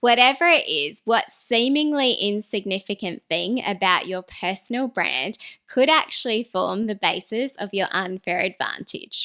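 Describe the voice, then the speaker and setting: A woman with an Australian accent, a fairly high voice, a bright, sharp tone and lively intonation at a fairly slow pace, on a very clean, dry, close recording with no echo and a silent background. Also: hardly any pauses. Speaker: personal branding YouTuber. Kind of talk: scripted talking-head video.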